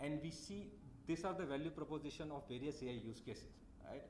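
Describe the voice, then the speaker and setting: The speaker is a man with a fairly high pitch. Audible room echo surrounds his voice. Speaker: tech company representative. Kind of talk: conference talk. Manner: fast.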